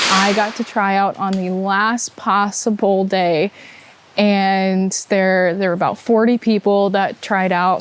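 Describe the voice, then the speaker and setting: A woman with an American accent speaks at a medium pitch. Background noise is noticeable. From Upper Peninsula of Michigan (Manistique). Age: 20s. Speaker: college student athlete. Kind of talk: interview.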